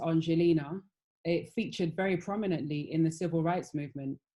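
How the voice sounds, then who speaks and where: Speaking at a moderate pace with a British accent, a woman has a fairly low pitch, a dark, mellow tone and fairly even intonation. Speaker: fashion panelist. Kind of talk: panel discussion.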